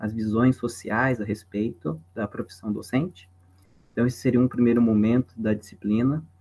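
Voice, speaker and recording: This man has a medium-pitched voice with ordinary pitch variation. He speaks with a southern Brazilian accent. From southern Brazil (Santa Catarina, Paraná). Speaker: philosophy professor. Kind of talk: lecture. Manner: casual.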